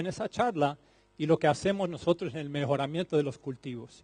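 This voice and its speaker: This man's dark, mellow tone comes through a dry, close sound with no echo, and his pitch varies in an ordinary way. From Colombia. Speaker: plant breeding scientist. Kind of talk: conference talk. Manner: halting, with fillers and repetitions.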